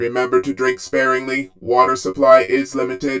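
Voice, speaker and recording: Put-on character voice from a man at medium pitch and moderate pace. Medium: read story. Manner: flat, procedural, impersonal.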